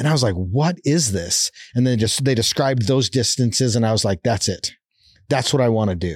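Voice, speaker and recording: Speaking in a plain, everyday voice, a man with a medium pitch and lively intonation talks at a fairly quick pace with very even loudness in a very clean recording with a silent background. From Canada, Calgary, Alberta. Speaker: endurance athlete and motivational speaker. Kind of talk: interview conversation.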